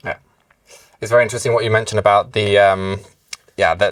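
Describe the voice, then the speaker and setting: A man's fairly low, monotone voice with flat intonation and a British accent. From UK. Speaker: webinar moderator. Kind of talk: webinar Q&A discussion.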